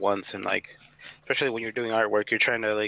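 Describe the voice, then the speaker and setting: A man speaks in a flat monotone, loud and with a bright, sharp tone. The sound is dry and close, with no echo. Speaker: artist. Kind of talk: casual chat.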